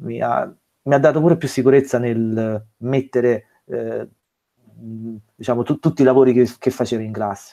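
Speaking at a moderate pace, a man uses fairly even intonation and a dark, mellow tone. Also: medium pitch for a man. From southern Italy, province of Salerno. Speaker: religion teacher. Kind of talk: podcast interview. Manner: halting, many fillers.

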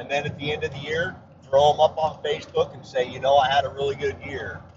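A man's fairly high-pitched speech at a moderate pace, with fairly even intonation and noticeable background noise. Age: 50s. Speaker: predator hunting podcaster. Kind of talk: solo monologue podcast. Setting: traveling.

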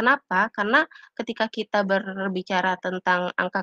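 With a plain, everyday voice, a woman talks at a moderate pace and medium pitch, her pitch varying in an ordinary way, in a dry, close sound with no echo. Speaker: student representative. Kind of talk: casual discussion.

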